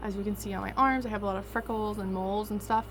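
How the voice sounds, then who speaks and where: A woman speaks in a Southern US accent. There is noticeable background noise. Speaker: vlogger. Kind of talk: casual vlog storytelling.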